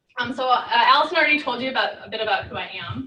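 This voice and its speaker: A woman rattles off her words at a very fast pace, with audible room echo and noticeable background noise in the recording. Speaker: research scientist. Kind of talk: lecture. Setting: seminar with audience.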